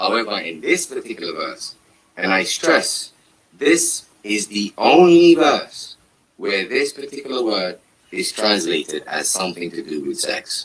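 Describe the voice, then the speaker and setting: With a Somali accent, a man speaks at a fairly slow pace. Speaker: Quran commentator. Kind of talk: religious discussion.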